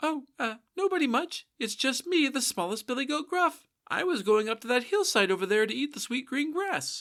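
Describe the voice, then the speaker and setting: Someone uses a put-on character voice that is high-pitched and timid in tone. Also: moderate pace. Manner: timid, polite.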